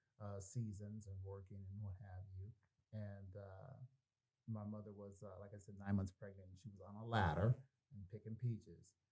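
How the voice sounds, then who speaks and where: With an American accent, a man speaks at a fairly low pitch in a dark, mellow, somewhat breathy tone with fairly even intonation. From California. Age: 60s. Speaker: podcast co-host. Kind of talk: casual chat.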